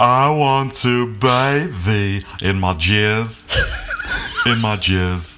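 A man speaks at a very slow pace with hardly any pauses. There is noticeable background noise. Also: medium pitch for a man, ordinary pitch variation. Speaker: podcast host. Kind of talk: casual comedic banter. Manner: animated, joking.

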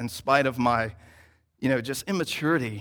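This man has a plain, everyday voice at a medium pitch, speaking at a moderate pace on a very clean recording with a silent background. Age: 30s. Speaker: church planting resident preaching. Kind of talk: sermon. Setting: church service.

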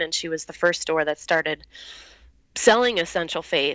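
Heard in a very clean recording with a silent background, a woman with an American accent speaks in a bright, sharp tone. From US Midwest, Highland, Indiana. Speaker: fragrance company founder. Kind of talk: casual interview.

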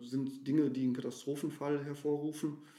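This man's voice has a dark, mellow tone. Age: 40s. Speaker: water rescue volunteer and social worker. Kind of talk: interview.

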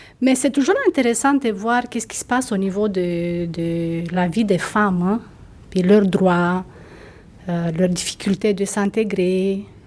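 Very slow speech from a woman at medium pitch, with ordinary pitch variation and noticeable background noise. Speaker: former member of the organization. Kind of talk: casual interview.

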